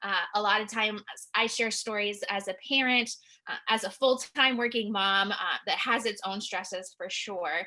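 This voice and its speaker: A loud woman speaks at a moderate pace in a bright, sharp tone with fairly even intonation. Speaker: licensed clinical social worker, counselor. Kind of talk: webinar presentation. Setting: online webinar.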